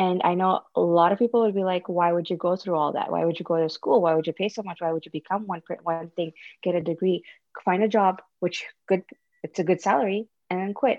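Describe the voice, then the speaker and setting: A woman's medium-pitched, normal speaking voice at a fairly quick pace. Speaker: podcast guest, mother of two. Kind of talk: casual chat.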